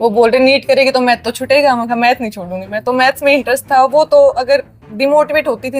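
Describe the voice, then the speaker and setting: Over noticeable background noise, a woman with a high voice speaks at a moderate pace, her intonation fairly even. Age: 20s. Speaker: university topper student. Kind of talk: interview.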